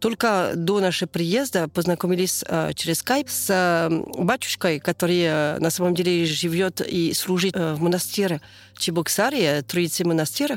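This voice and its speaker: A woman with a French accent at fairly low pitch, fairly slow pace, ordinary pitch variation and very even loudness, on a very clean recording with a silent background. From southern France. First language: French (speaking Russian). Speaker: French immigrant mother. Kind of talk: interview. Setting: outdoors near yurt. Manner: halting.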